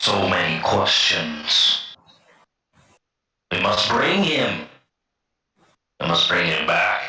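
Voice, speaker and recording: In a put-on character voice, a man speaks at a very slow pace with long, frequent pauses and very even loudness, with a slight echo. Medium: actual play.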